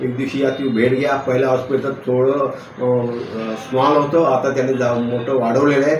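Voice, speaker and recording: Noticeable background noise runs behind the recording. A man talks with monotone, flat intonation. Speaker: retired government employee. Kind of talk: patient testimonial.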